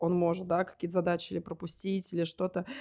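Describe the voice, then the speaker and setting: A woman speaks at a very fast pace. Her pitch is fairly low and her intonation fairly even. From Russia, provincial town near Moscow. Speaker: wedding agency founder. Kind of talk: interview.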